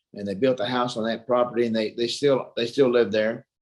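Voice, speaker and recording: With a Texan accent, a man speaks at a medium pitch. His pace is fairly quick. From Texas (Mansfield). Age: 60s. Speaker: retired boxer and kickboxer. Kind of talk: interview.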